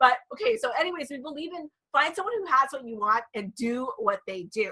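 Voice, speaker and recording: A woman speaks at a high pitch in an animated tone, with a raised, projected voice and a fairly quick pace. Her pitch swings very widely, and her loudness rises and falls sharply. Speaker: network marketing presenter. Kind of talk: sales pitch. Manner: fast.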